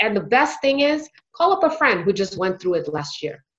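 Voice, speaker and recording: With an American accent, a woman with an unremarkable speaking voice talks at a moderate pace with lively intonation. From United States, Indian heritage. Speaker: physician and residency coach. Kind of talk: interview.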